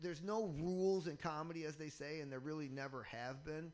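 With an American accent, a man talks at a moderate pace in an ordinary speaking voice, his pitch fairly high. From Michigan. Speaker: stand-up comedian. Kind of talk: casual chat. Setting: radio studio.

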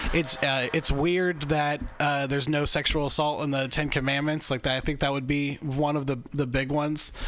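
A man talks at a moderate pace in a fairly high pitch, with flat, monotone intonation and very even loudness. He barely pauses, and music plays in the background. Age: 20s. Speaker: stand-up comedian. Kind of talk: casual chat.

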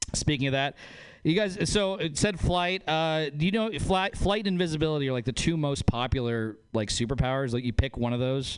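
A man with an ordinary speaking voice, lively intonation and a fairly quick pace. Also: fairly high pitch for a man. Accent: American. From northern Nevada. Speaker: comedian. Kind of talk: stand-up.

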